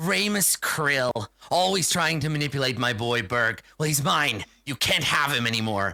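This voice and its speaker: A man puts on a raspy, growling character voice at a fairly high pitch, with lively intonation, very even loudness, a moderate pace and hardly any pauses. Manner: snarling.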